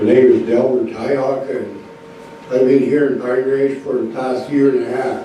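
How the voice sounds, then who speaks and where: A man at a moderate pace and medium pitch, flat and monotone, with audible room echo and noticeable background noise. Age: 60s. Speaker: shelter resident giving public comment.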